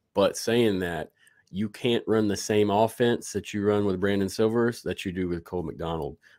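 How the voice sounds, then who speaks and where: An unremarkable speaking voice from a man, fairly low in pitch, with fairly even intonation and a moderate pace. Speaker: sports podcaster. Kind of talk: casual interview. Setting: video call.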